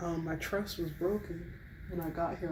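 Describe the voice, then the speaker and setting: A soft-spoken woman whispers at a moderate pace. Noticeable background noise sits behind her. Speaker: college student. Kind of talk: casual chit chat to camera, ASMR. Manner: soft-spoken, whispery, relaxed.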